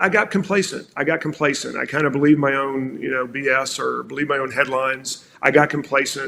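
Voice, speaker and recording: A man with an American accent and a fairly high pitch speaks at a very fast pace, with hardly any pauses. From South Carolina, US South. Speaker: marketing executive. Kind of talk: podcast interview. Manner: animated.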